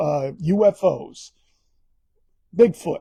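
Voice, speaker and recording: A man with a Bronx accent talks in a high voice with a dark, mellow tone and lively intonation. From New York, the Bronx. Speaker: author. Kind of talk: book talk via live stream. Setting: live stream. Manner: casual, conversational.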